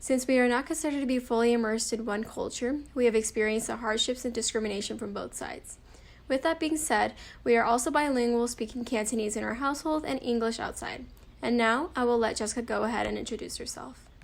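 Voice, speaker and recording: A woman talks very fast in a high pitch. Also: fairly even intonation. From US. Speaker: student. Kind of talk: scripted interview. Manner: formal.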